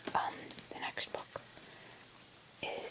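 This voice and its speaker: Noticeable background noise surrounds the recording. A woman whispers through it at a moderate pace. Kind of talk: casual talk to camera. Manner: whispered, soft-spoken.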